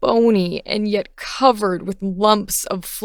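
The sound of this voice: The intonation is fairly even. An unforced reading voice carries the text.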